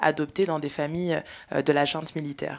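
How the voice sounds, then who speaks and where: A fairly quick pace from a woman with a very deep, low pitch. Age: 30s. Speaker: filmmaker and panel moderator; panel moderator. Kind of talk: panel discussion. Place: hall.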